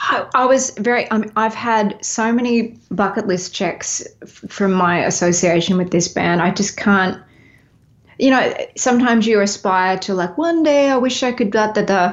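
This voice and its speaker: A woman with an Australian accent talks at a moderate pace, her fairly high pitch showing ordinary variation. Her loudness stays very even. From Australia, Melbourne. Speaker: singer-songwriter and touring musician. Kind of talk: casual interview chat.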